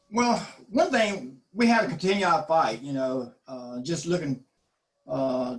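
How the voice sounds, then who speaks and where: Using a Southern US accent, a man talks at a moderate pace in a fairly high pitch with very wide pitch swings. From US South, eastern North Carolina (Duplin County). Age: 60s. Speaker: community health nonprofit director. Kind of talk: panel discussion.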